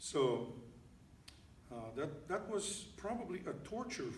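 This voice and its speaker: An animated man with very wide pitch swings and audible room echo. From Russia, Saint Petersburg. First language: Russian. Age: 60s. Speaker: pianist and composer. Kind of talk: lecture and demonstration to piano students. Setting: church with a small audience. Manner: animated, conversational with hesitations.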